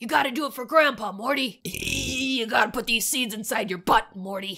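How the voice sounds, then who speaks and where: A woman uses a put-on character voice. It sits at a fairly high pitch and moves at a moderate pace. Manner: pushy, slurred.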